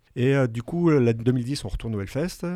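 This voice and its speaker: The man's dark, mellow tone carries at a fairly quick pace. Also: very clean recording, silent background. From northern France. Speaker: illustrator. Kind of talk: radio interview.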